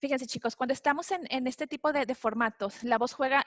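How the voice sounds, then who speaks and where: A very fast, high-pitched woman with fairly even intonation. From Mexico, Monterrey. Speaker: author and customer experience speaker. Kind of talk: webinar talk. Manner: some halting restarts.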